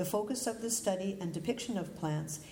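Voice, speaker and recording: Audible room echo around a woman's voice of ordinary pitch variation. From Calgary, Canada. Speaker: botanical artist. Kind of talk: lecture.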